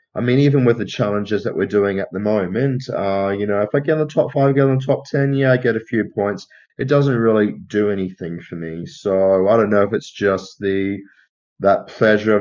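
Over a quiet background, a man speaks in an Australian accent at a fairly low pitch. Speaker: film podcast co-host. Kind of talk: casual chat.

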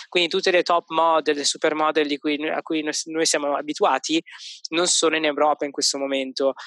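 Speaking in a flat monotone, a man has a fairly high pitch and a bright, sharp tone. The sound is dry and close, with no echo. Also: fairly quick pace. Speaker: podcast co-host. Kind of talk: casual chat. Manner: hesitant, many fillers.

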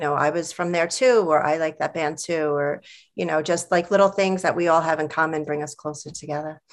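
A woman with an American accent, very deep and low in pitch, her intonation fairly even. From New York. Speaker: librarian and collective organizer. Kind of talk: casual chat.

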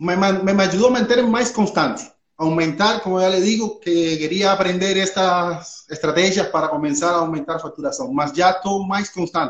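This man's pitch is high. He uses ordinary pitch variation. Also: moderate pace. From Cuba. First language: Spanish (speaking Portuguese). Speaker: physiotherapist and e-commerce owner. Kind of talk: mentoring consultation. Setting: live online session. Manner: halting, code-switching.

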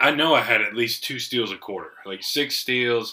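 With a bright, sharp tone, a man talks at a fairly slow pace in a medium pitch with ordinary pitch variation. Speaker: podcast host. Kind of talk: casual banter over beers. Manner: joking, profane.

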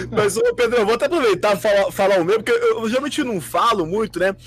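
A man speaks at a high pitch and a fairly quick pace, his tone animated. His pitch varies in an ordinary way, with noticeable background noise behind him. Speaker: fan podcast host. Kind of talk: casual chat.

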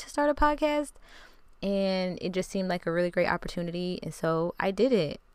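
The speaker is a woman with a medium pitch. Her recording is very clean, and the background is silent. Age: 30s. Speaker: podcaster and self-care educator. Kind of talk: casual solo podcast monologue. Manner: conversational.

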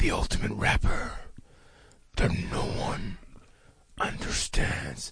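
A man's raspy, put-on character voice broken by long, frequent pauses. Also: fairly slow pace. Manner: dramatic.

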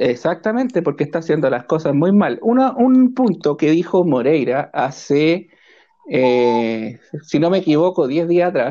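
A man with a Chilean accent, high-pitched yet dark and mellow in tone, with very wide pitch swings, very even loudness and a fairly slow pace. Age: 30s. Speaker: railway worker. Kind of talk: casual political chat.

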